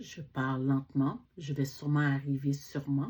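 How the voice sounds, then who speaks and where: With a Quebec accent, a woman with a very deep, low pitch speaks at a fairly slow pace in a flat, monotone way. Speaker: book reviewer. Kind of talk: casual book vlog. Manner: halting.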